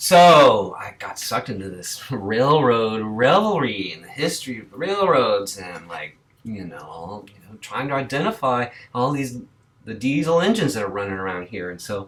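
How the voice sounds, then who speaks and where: With an American accent, a man of medium pitch talks at a moderate pace with very wide pitch swings and big swings in loudness, amid noticeable background noise. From Boston. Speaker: record collector vlogger. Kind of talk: casual vlog monologue.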